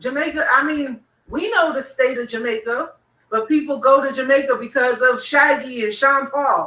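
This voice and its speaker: A woman speaks in a raised, projected voice at a moderate pace, high-pitched and animated in tone. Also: ordinary pitch variation. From Bahamas. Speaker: DJ. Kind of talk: casual chat.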